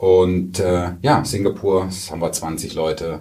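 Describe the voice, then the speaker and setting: A man with a very deep, low pitch speaks at a very slow pace. His tone is dark and mellow, and somewhat breathy. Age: 40s. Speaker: IT company sales director. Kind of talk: interview. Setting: studio. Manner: many hesitation fillers.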